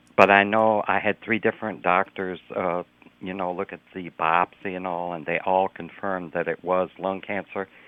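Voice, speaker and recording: In a flat monotone, a man speaks with a very deep, low pitch. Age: 80s+. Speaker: public health doctor and lung cancer survivor. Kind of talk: radio interview. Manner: halting, with many fillers.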